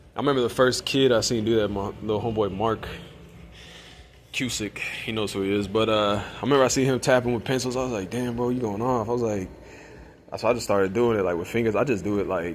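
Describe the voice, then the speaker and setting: A man talks quietly at a very fast pace, his pitch fairly low and his intonation fairly even. Noticeable background noise sits behind him. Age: adult. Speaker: vlogger. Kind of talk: casual vlog monologue. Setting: music store. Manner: soft-spoken; quiet, people ask him to speak up.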